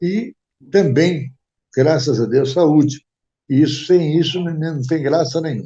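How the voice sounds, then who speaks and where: The voice is somewhat breathy with a dark, mellow tone and ordinary pitch variation, moving at a fairly slow pace with long, frequent pauses. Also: man, fairly high pitch for a man. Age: 90s. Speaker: retired events industry executive. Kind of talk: interview. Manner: halting.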